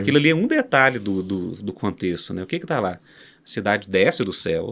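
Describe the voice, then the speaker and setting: At a fairly quick pace, a man talks with lively intonation at a fairly low pitch. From Minas Gerais, Brazil. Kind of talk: podcast interview answer. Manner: casual, animated.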